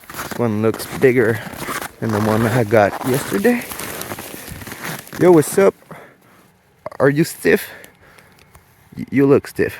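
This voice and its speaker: A man talks at a very slow pace, his pitch swinging very widely. Noticeable background noise runs behind him. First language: French. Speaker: hunting vlogger. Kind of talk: outdoor hunting vlog. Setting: outdoors in cold snowy woods.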